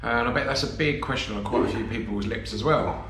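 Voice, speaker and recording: Room echo is audible here. The speaker is a man. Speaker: campervan vlogger. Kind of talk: casual vlog chat. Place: home room. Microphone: phone near.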